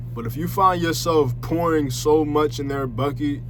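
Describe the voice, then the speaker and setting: With audible room echo around him, the man talks at a medium pitch. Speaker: vlogger. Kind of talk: casual monologue. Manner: occasionally halting.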